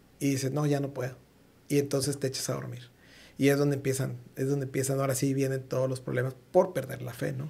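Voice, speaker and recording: Somewhat breathy, a man rattles along at a very fast pace in a monotone, flat intonation. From Mexico. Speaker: podcast host. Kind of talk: casual interview chat. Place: studio. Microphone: studio mic.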